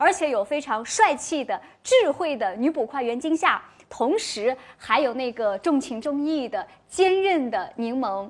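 A woman speaks at a high pitch with lively intonation. The background is quiet. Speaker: livestream host. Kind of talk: promotional host patter. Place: studio. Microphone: lapel.

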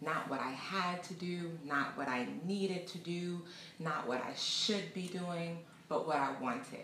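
A woman speaks at a fairly slow pace and fairly low pitch, with ordinary pitch variation. There is light background noise and audible room echo. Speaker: travel vlogger. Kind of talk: casual vlog chat. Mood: warm, reflective. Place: home room.

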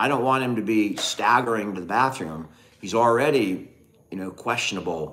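A man with an American accent, medium pitch, ordinary pitch variation, and a moderate pace. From Northern California. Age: 50s. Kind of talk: casual livestream chat. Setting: home livestream. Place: home room. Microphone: phone near.

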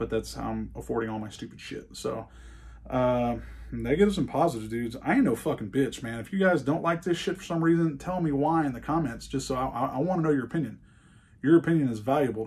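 The speaker is a man with a somewhat breathy voice. He talks very fast. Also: lively intonation. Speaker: gun review YouTuber. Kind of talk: casual rambling review vlog. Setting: indoor shooting range. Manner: casual, rambling, profane. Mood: defiant, ranting. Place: workshop.

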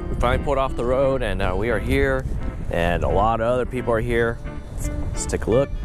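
Clear music plays in the background as a man speaks at a fairly quick pace. The recording is dry, with no echo. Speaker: travel vlogger. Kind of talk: casual vlog chat. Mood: amused, curious. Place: open country. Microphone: phone near.

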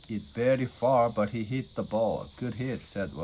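The clip features a natural reading voice with fairly even intonation.

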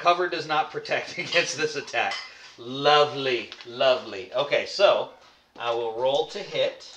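There is audible room echo and light background noise as a man speaks at a fairly slow pace. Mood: relaxed, playful. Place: home room. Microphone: camera far.

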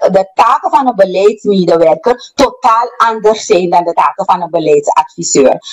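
Speaking at a moderate pace with hardly any pauses, a woman comes through over a quiet background. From Suriname. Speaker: policy advisor; talk show guest or host. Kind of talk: heated debate. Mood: indignant, argumentative. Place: studio.

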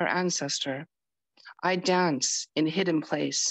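With an unremarkable speaking voice, a woman talks at a fairly slow pace and fairly low pitch, with ordinary pitch variation. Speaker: open mic reader. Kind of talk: poetry reading.

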